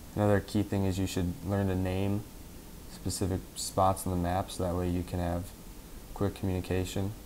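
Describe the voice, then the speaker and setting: Very deep and low, a man's voice has a dark, mellow tone and monotone, flat intonation at a moderate pace. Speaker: gamer. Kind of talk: gameplay tutorial commentary.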